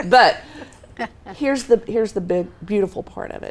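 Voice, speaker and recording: This woman has a Texas accent and lively intonation. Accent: Texas twang. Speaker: Navy veteran, founder of women's ministry. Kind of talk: talk show interview.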